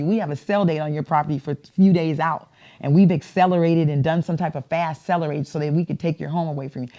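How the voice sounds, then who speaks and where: A woman speaks very fast with an American accent. Her tone is dark and mellow, with ordinary pitch variation. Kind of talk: interview answer.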